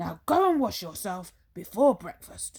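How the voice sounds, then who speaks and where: A female-sounding voice at medium pitch growls in a put-on character voice. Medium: read story.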